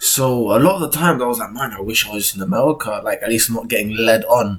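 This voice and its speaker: A man's somewhat breathy voice. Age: 20s. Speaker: vlogger. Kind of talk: personal vlog monologue. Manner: casual, halting.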